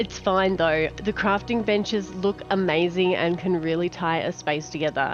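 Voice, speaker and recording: Over music in the background, a woman with an Australian accent talks at a moderate pace and fairly low pitch, with fairly even intonation and very even loudness. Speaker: gaming content creator. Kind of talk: casual game preview talk.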